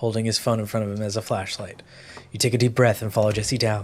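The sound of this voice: Reading in an unforced voice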